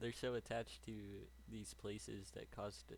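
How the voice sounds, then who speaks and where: Vocal fry and very wide pitch swings at a moderate pace. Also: man. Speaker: YouTube reactor. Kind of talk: casual chat. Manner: halting, self-correcting.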